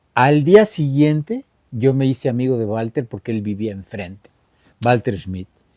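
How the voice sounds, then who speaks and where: A man's medium-pitched voice in a dry, close sound with no echo. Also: big swings in loudness. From Mexico City. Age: 70s. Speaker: rock musician. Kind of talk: interview. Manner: casual.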